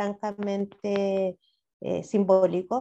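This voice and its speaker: The speech unfolds at a very slow pace. Its tone is dark and mellow. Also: woman. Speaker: city councillor and sociologist. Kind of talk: interview.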